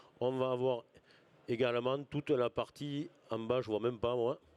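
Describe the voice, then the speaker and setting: A man talks at a moderate pace with a medium pitch. His intonation stays fairly even. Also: dry, close sound with no echo. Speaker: farm manager at agricultural school. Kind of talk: conference talk.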